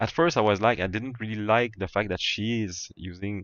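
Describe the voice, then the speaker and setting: A man with a strong French accent speaks in a fairly low voice. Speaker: gaming streamer. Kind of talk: casual chat. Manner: halting, many repetitions.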